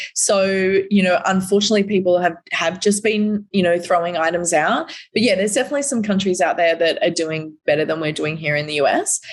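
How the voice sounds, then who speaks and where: A woman talks at a very fast pace. She has an Australian accent. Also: medium pitch for a woman, ordinary pitch variation. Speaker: recycling company representative. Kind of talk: podcast interview. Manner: animated.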